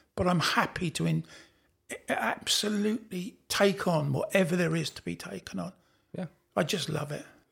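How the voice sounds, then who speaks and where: Pausing long and often, a man with a British accent talks at a moderate pace. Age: 70s. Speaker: falconer and author. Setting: at a falconry expo.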